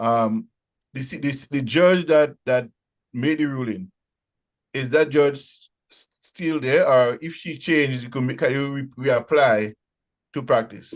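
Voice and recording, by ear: At a fairly slow pace, a man talks at medium pitch with ordinary pitch variation.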